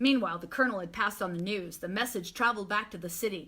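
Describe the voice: Here the pitch moves in an ordinary way across plain reading aloud.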